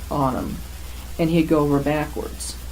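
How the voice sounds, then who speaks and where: Audible room echo and noticeable background noise surround this woman as she speaks. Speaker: oral history interviewee. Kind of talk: oral history interview.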